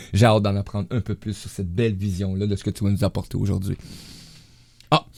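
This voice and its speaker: A man with a fairly low pitch talks at a very fast pace with fairly even intonation, the sound dry and close with no echo. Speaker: radio host. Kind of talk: casual chat.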